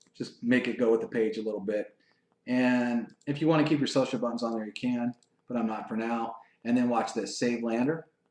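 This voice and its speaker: A man of medium pitch at a fairly quick pace. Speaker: online marketing trainer. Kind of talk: screen-share tutorial webinar. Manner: fast; casual, enthusiastic.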